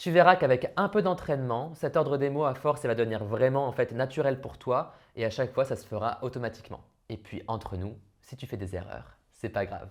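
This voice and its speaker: An ordinary speaking voice from a man at medium pitch, fairly quick in pace, with lively intonation and big swings in loudness. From France. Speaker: language learning youtuber. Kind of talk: tutorial. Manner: casual.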